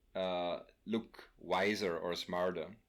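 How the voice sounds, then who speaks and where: A man with a non-native accent is heard in a very clean recording against a silent background. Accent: non-native English, noticeable. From Austria. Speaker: podcast guest. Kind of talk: casual chat. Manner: halting, many fillers.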